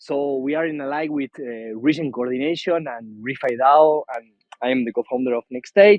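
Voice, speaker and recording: A man speaks with an Argentine accent at a moderate pace, his pitch fairly high with ordinary variation. His loudness swings widely. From central Argentina. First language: Spanish. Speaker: co-founder of a regeneration project. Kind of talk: video call roundtable introduction. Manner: halting, repetitive non-native English.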